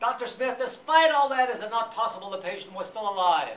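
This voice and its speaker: Delivery is very fast, with noticeable noise in the background. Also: man. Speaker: psychotherapist and speaker. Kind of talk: public lecture.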